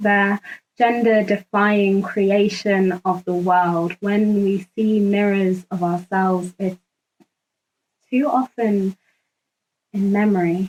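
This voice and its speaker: A woman with a Zimbabwean accent speaks at a medium pitch with monotone, flat intonation. She goes at a very slow pace with long, frequent pauses, and the sound is dry and close with no echo. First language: Ndebele. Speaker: activist. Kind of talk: spoken word monologue. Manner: formal.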